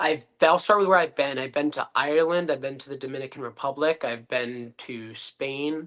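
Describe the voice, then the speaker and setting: This man has a fairly high pitch, ordinary pitch variation, and an unremarkable speaking voice. He talks at a moderate pace against a quiet background. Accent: American. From Connecticut, US. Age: 20s. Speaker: professional wrestler. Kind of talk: podcast interview. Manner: confident, brash.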